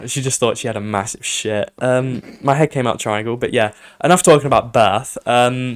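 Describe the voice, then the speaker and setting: A man with a British accent at a medium pitch and moderate pace, with ordinary pitch variation. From UK. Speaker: podcast host. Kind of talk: casual chat.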